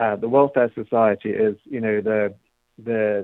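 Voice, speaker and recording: A man speaks with a British accent. His voice is fairly low, with fairly even intonation. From England. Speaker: policy director guest. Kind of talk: radio interview.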